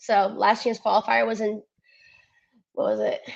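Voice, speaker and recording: A woman talks at a moderate pace. She has a slight Cleveland accent. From US Midwest, Cleveland, Ohio. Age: 20s. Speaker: athlete. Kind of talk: interview.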